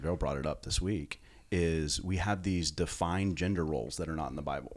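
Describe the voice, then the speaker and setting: At a fairly quick pace, a man speaks with a very deep, low pitch and vocal fry. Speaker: pastor. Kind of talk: casual chat.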